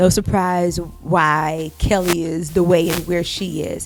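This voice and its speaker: A woman speaks at a fairly low pitch with ordinary pitch variation. Music plays in the background. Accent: American. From Houston, Texas. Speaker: singer. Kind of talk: interview. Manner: animated.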